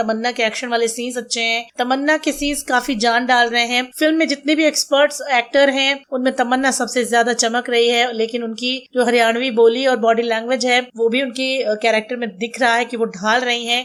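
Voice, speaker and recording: Hardly pausing, a woman speaks at a moderate pace in a high pitch. Her intonation is monotone and flat. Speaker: radio jockey. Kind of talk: movie review podcast, radio-style.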